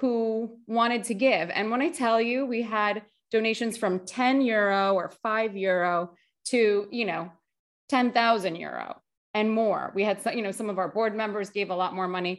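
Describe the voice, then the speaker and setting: Against a quiet background, a woman with an American accent and an unremarkable speaking voice talks at a moderate pace, fairly high in pitch with ordinary pitch variation. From US, Greek American family. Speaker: agency founder and nonprofit community director. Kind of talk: casual interview chat. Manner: casual, many fillers like 'like' and 'you know'.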